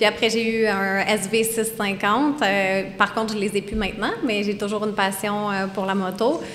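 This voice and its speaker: A woman talks at a moderate pace and medium pitch, with fairly even intonation and hardly any pauses. Audible room echo and noticeable background noise are present. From Quebec, Eastern Townships. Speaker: snowmobile company employee. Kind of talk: podcast interview. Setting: live audience in a brewery.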